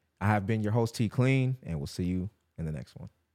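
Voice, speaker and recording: With an ordinary speaking voice, a man talks fairly quickly at medium pitch over a very clean, silent background. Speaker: podcast host. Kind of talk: casual interview. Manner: casual, laid-back.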